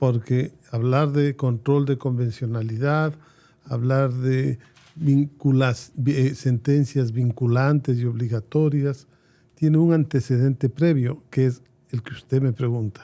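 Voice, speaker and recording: A man's dark, mellow voice at medium pitch, very slow in pace, with fairly even intonation. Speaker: jurist and law professor. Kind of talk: interview.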